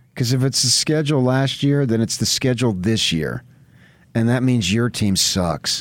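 A man talks at a moderate pace in a medium-pitched voice. The recording is very clean, with a silent background. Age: 70s. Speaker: sports radio host. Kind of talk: sports talk radio.

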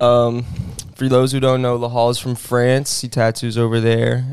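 A plain, everyday voice at a moderate pace. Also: man. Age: 20s. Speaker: tattoo artist and podcast co-host. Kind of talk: casual chat. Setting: studio.

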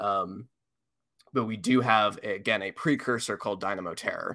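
A normal speaking voice at a fairly slow pace, with fairly even intonation, in a very clean recording over a silent background. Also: man. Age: 20s. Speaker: paleontologist. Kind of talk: casual chat.

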